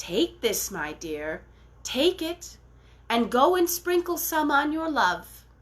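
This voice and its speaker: A high-pitched, put-on character voice from a woman, fairly slow in pace. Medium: read story. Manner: gentle, motherly.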